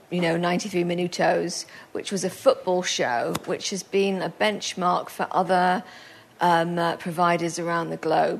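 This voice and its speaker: A woman speaks at a fairly slow pace in a fairly low pitch, a normal speaking voice. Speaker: panel moderator and blog editor. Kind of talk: moderating a panel. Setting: stage with audience. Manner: chatty, friendly.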